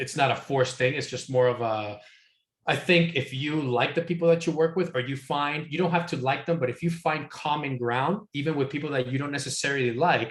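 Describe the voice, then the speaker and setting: Breathing somewhat audibly, a man talks at a fairly quick pace and fairly high pitch with ordinary pitch variation. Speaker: software industry consultant. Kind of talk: Q&A talk. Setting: video call.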